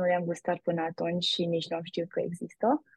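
Somewhat breathy, a woman's voice proceeds at a moderate speed. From Romania, Brașov. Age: young. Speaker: university student. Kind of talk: interview.

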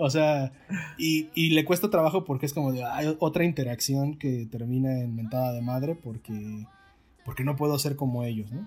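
A man with a Mexican accent talks at a moderate pace and a fairly high pitch, with ordinary pitch variation. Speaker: podcast host, film reviewer. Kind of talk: casual chat.

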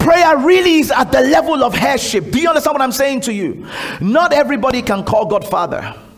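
A man's extremely high-pitched voice, animated in tone and lively in intonation, at a fairly quick pace over noticeable background noise. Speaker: preacher leading a prayer school. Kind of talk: fervent prayer and exhortation, leading the congregation in prayer. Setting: church gathering with a live congregation. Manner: loud, urgent, rhythmic repetition, call-and-response; animated, commanding, exhorting the room.

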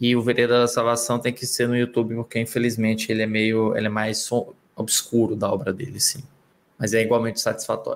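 This man has an unremarkable speaking voice at medium pitch. He talks at a fairly quick pace with fairly even intonation. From Northeast Brazil. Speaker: film critic. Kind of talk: casual panel discussion.

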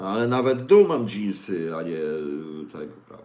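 A man at a moderate pace, with audible room echo. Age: 60s. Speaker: livestream host. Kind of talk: casual livestream talk with viewer questions. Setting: home kitchen.

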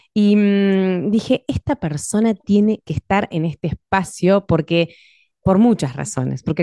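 A woman speaks with ordinary pitch variation. The sound is dry and close, with no echo. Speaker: podcast host. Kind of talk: interview. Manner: radio announcer style.

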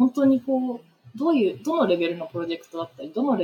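Lively in intonation, a woman rattles along at a very fast pace. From Tokyo, Japan. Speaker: urban planning consultant. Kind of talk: interview conversation. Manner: hesitant with many fillers.

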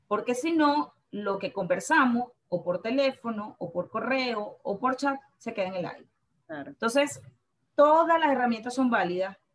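A woman's fairly high voice in a Venezuelan accent, with very wide pitch swings and a fairly slow pace. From Venezuela, Valencia. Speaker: purchasing manager. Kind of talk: interview.

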